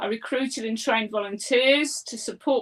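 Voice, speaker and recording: With an East Midlands accent, a woman talks at a fairly slow pace using a fairly high pitch and ordinary pitch variation. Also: dry, close sound with no echo. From England, Leicester (East Midlands). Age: 60s. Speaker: property investor, former teacher. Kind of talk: interview.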